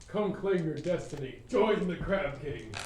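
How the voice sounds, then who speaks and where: Over clear background noise and with a slight echo, a man puts on a high-pitched character voice. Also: moderate pace. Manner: dramatic, beckoning.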